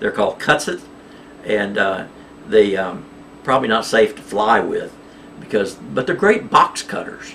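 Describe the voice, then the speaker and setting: Against noticeable background noise, a man speaks with an American accent at a fairly slow pace. He leaves long, frequent pauses. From Oklahoma. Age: 60s. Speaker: cryptocurrency vlogger. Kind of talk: casual monologue to camera. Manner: agitated, manic; halting, many fillers.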